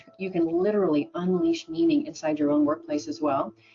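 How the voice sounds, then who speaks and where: With an American accent, a woman talks at a fairly quick pace, her pitch swinging very widely, over noticeable background noise. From Oregon, US. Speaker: business speaker and radio host. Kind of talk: webinar presentation.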